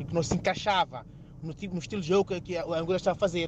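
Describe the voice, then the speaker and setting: The man's voice sits at a high pitch. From Mozambique. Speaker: radio caller. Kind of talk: phone-in opinion.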